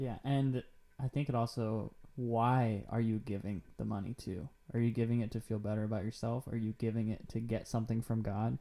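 A man speaks at a fairly quick pace with a dark, mellow tone. His medium-pitched voice keeps a fairly even intonation. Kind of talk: casual faith-based podcast conversation.

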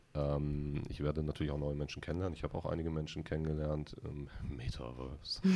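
A man speaks at a very fast pace with hardly any pauses, in a very deep, low pitch. His tone is dark and mellow, and his intonation is monotone and flat. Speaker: podcast host. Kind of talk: casual chat. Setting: studio.

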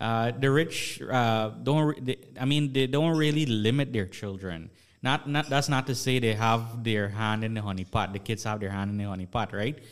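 Speaking at a moderate pace with hardly any pauses, a man uses a medium pitch and ordinary pitch variation in a very clean recording with a silent background. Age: 20s. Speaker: finance content creator. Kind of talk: panel discussion. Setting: studio. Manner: halting, many fillers.

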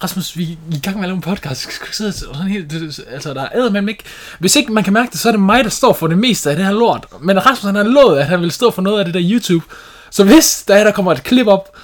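A man speaks at a high pitch with lively intonation. Background noise is noticeable. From Denmark. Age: 20s. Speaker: podcast host, house painter. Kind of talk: casual chat.

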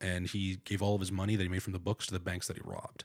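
A man with a very deep, low pitch speaks at a very fast pace. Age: 30s. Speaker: comedian. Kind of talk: casual chat.

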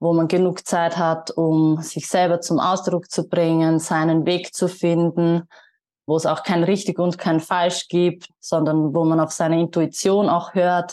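This woman's voice sits fairly low in pitch and has a dark, mellow tone. She speaks at a fairly slow pace over a quiet background. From Austria. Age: 20s. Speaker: yoga teacher. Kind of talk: interview.

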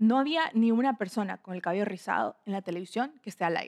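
At a fairly quick pace, a woman of medium pitch speaks with ordinary pitch variation in a dry, close sound with no echo. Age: 20s. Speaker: podcast host. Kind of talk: personal monologue. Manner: casual.

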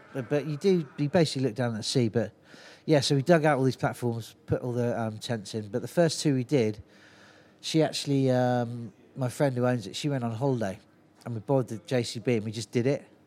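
In a Cornish accent, a man speaks at a fairly quick pace with a medium pitch. His tone is dark and mellow, with ordinary pitch variation. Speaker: festival organiser and brewer. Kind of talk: casual chat. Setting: on location at a brewery. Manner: animated storyteller.

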